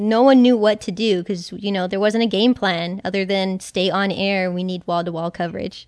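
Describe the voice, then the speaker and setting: A woman with an American accent and an unremarkable speaking voice talks at a moderate pace with ordinary pitch variation over a quiet background. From South Texas, near Corpus Christi. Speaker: podcast host, former news video editor. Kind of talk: casual recollection; scripted narration.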